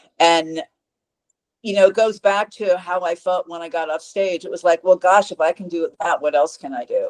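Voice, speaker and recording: In a normal speaking voice, a woman talks at a fairly low pitch and a moderate pace with fairly even intonation, in a dry, close sound with no echo. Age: 60s. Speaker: fitness coach. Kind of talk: interview.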